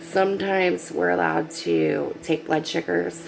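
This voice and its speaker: A quiet woman's voice over noticeable background noise. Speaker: nurse's aide. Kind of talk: casual vlog. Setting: at work, night shift.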